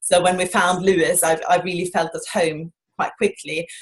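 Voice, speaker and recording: The speaker is a woman at a medium pitch. Her voice is somewhat breathy. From Norway. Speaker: shopkeeper. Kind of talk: interview answer.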